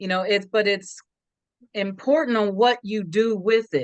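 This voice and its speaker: A woman speaks in a normal speaking voice with an American accent. Her pitch is medium and her pace fairly slow. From Sacramento, California. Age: 60s. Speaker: investment club member. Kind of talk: interview testimony.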